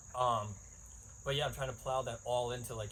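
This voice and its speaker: A man at a very fast pace in monotone, flat intonation, with audible room echo. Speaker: podcast host. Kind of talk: casual monologue. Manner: rambling, many fillers.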